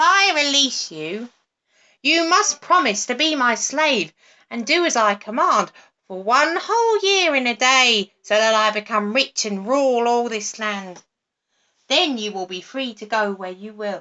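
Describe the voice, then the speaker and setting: A put-on character voice at a moderate pace. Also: woman, high pitch for a woman. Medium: read story.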